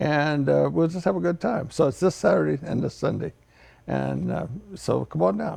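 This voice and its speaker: At a moderate pace, a man speaks with a fairly low pitch, very wide pitch swings, vocal fry and a dark, mellow tone. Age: 70s. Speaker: farmer. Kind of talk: TV interview.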